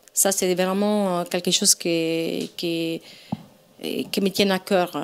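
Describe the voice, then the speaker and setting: Very slow speech from a woman with an Italian accent, medium in pitch and monotone, with flat intonation. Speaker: event organizer. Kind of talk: casual chat. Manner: hesitant.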